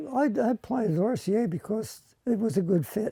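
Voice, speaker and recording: A dark, mellow tone with lively intonation comes through in a dry, close sound with no echo. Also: man. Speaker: retired electronics technician. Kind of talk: documentary interview.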